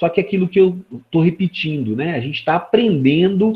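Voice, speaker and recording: A man's somewhat breathy voice carries lively intonation. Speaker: law professor. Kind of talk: lecture. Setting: video call. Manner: animated.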